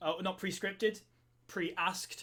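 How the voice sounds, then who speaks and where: At a moderate pace, a man with a high pitch speaks in a British accent. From Wales. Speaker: co-founder of a scouting online community. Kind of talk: live stream Q&A. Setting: live stream. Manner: hesitant, many fillers.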